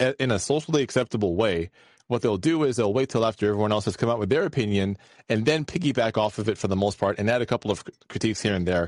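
Here a man talks at a very fast pace, his pitch fairly low with ordinary variation. The sound is dry and close with no echo over a quiet background. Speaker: podcast host. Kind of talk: casual chat. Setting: live call-in show.

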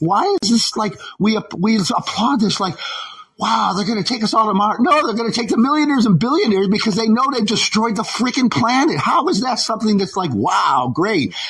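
Amid noticeable background noise, a man speaks at a fairly quick pace, his high pitch full of lively intonation. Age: old. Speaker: caller, former Teamster. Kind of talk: call-in conversation.

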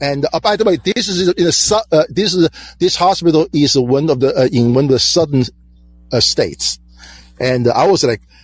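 A man with a Chinese accent and a fairly high voice speaks at a moderate pace with lively intonation, very even loudness, and long, frequent pauses. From China. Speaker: caller, hospital employee. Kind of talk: call-in debate.

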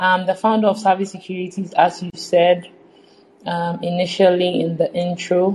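At a moderate pace, a woman speaks in a flat monotone at a medium pitch. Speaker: finance entrepreneur. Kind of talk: casual interview.

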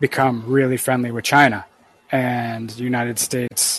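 In a Canadian accent, a man of medium pitch speaks at a moderate pace with monotone, flat intonation and a dry, close sound lacking echo. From Canada. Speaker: caller. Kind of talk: call-in debate. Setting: call via app.

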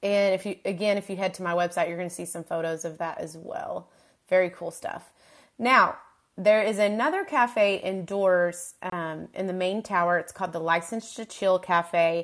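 Speaking at a moderate pace over a quiet background, a woman with a medium-pitched voice keeps her intonation fairly even while her loudness swings widely. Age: 30s. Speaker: podcast host, mom blogger. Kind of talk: casual solo talk.

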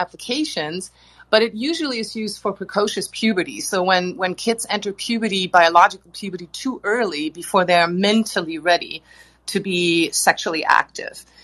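Ordinary pitch variation and a moderate pace in a woman's medium-pitched, a normal speaking voice. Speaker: cultural anthropologist. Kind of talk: group discussion.

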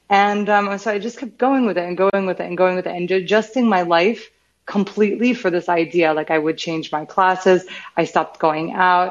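A woman with an American accent talks at a fairly quick pace in a plain, everyday voice. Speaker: startup CEO and founder. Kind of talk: interview.

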